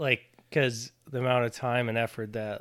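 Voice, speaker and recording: An Ontario accent on a very clean recording with a silent background. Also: man. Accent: Canadian (Ontario). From Ontario, Canada. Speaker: podcast co-host. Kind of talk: casual chat.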